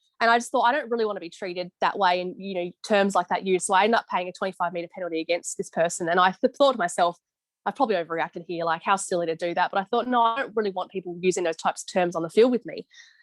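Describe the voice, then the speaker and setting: Someone with an Australian accent talks at a very fast pace with hardly any pauses, in a dry, close sound with no echo. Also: woman, medium pitch for a woman, ordinary pitch variation. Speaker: football umpire. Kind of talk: interview on video call. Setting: video call.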